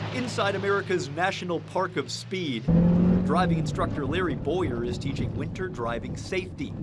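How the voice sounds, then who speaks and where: The man talks at a moderate pace while noticeable background noise carries on. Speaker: TV news anchor and reporter. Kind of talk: news feature package narration.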